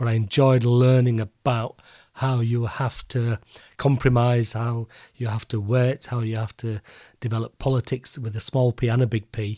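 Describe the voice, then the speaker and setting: In a very clean recording with a silent background, a man speaks with a strong Yorkshire accent. His medium pitch carries fairly even intonation at a moderate pace. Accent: broad Yorkshire. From Yorkshire, northern England. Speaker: peer and professor. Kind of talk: interview.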